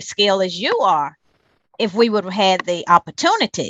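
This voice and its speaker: A woman speaks at a moderate pace with a North Carolina accent. Her pitch sits in the middle range and moves with ordinary variation. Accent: Southern US (North Carolina). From US South. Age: 60s. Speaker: community activist. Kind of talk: interview.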